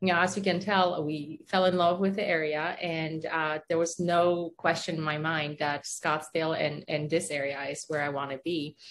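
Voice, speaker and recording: With a Polish accent, a woman speaks in a fairly low, flat monotone with hardly any pauses. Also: moderate pace. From Poland. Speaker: orthodontist, business owner. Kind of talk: casual interview.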